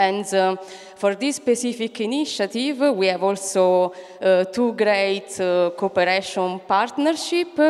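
The voice is a woman's. Little else can be heard behind her. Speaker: event moderator. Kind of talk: event introduction. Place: hall. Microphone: handheld.

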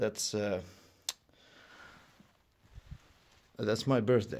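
Speaking very slowly, a man uses a fairly low pitch and fairly even intonation. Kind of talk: casual vlog narration while exploring. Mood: quiet, slightly uneasy. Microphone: phone near.

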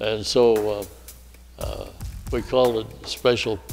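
A man speaking at a fairly slow pace, with faint music in the background. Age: 80s+. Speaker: retired air force colonel, war veteran. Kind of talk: interview answer. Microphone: lapel.

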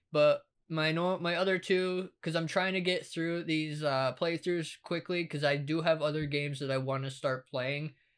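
A man keeps his intonation fairly even while talking at a moderate pace. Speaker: gaming channel host. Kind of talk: casual channel update chat. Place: home room. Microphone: headset.

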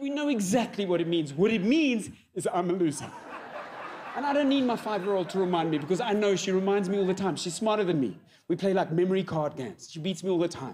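Someone talks at a very fast pace in a South African accent, with light background noise. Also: man, high pitch for a man. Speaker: comedian. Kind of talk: stand-up comedy set. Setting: live audience on stage. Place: stage. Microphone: handheld.

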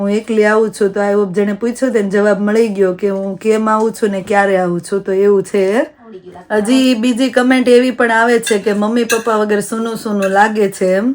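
Her voice is fairly high-pitched with fairly even intonation. The woman is heard over noticeable background noise. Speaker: family vlogger. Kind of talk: casual vlog talk to camera.

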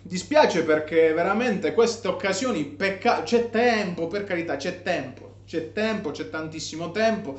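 A man speaks at a high pitch and a fairly slow pace, his tone animated and his intonation lively. Audible room echo surrounds the voice. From Italy. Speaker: football vlogger. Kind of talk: angry rant about a match, fired-up fan commentary. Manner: animated, emphatic. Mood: disappointed, frustrated. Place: home room. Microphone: phone near.

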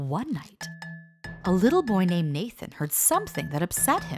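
With music in the background, a woman speaks at a fairly low pitch. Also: lively intonation, moderate pace. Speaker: voice-over artist. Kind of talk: book trailer narration.

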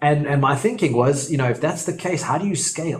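A man's somewhat breathy voice at a very fast pace. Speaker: property investment educator. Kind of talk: tutorial.

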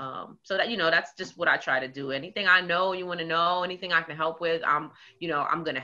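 In a New York accent, a woman talks at a very fast pace with a fairly low pitch. Her intonation is fairly even, and the background is quiet. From Queens, New York. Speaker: community organizer; interview guest. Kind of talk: casual interview. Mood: warm, engaged. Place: home room. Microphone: video call.

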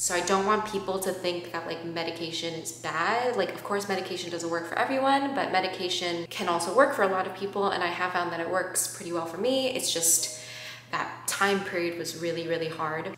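Fairly quick speech with audible room echo and light background noise. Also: woman, fairly low pitch for a woman, ordinary pitch variation. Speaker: vlogger. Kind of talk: casual vlog chat. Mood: reflective, personal, earnest.

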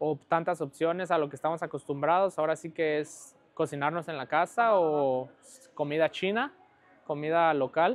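A man with a plain, everyday voice, fairly high in pitch, at a moderate pace with ordinary pitch variation. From Mexico, Guadalajara; Jalisco, Mexico. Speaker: professional footballer; interview guest. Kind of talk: casual interview. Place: home room. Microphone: lapel.

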